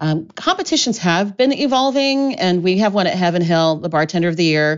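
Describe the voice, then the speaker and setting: A woman with an American accent has an unremarkable speaking voice, fairly low in pitch with lively intonation. She keeps a moderate pace. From US Midwest, Columbus, Ohio. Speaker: mixologist and spirits educator. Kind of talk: casual chat.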